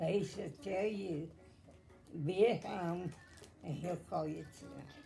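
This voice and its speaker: Over music in the background, a woman speaks at a very slow pace in a fairly low voice with ordinary pitch variation. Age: 80s+. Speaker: great-grandmother telling her story. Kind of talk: reminiscing interview answer. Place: home room. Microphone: phone near.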